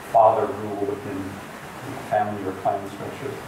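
The recording carries noticeable background noise and audible room echo. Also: man. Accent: American. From US. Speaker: professor. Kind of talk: public talk. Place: meeting room. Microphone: camera far.

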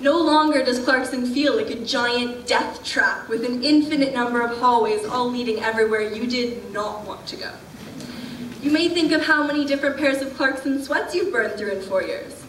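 Over noticeable background noise, a woman with a high pitch speaks at a moderate pace with ordinary pitch variation. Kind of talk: ceremonial speech. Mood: warm, lightly humorous. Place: hall. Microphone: podium.

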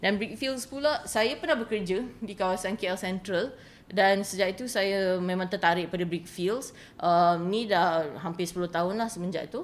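A woman speaks at a moderate pace, with ordinary pitch variation. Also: medium pitch for a woman. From Malaysia, Kuala Lumpur. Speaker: writer and translator. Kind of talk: interview. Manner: halting.

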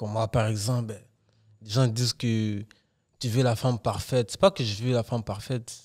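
A man's medium-pitched voice at a moderate pace, with fairly even intonation, long, frequent pauses and a quiet background. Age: 20s. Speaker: podcast co-host. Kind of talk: casual chat. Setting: studio. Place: studio. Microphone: studio mic.

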